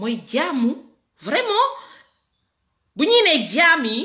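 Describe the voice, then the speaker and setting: A woman speaks in a raised, projected voice with very wide pitch swings. The background is quiet. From Senegal. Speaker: political commentator. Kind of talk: political rant. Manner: animated. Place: home room. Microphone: phone near.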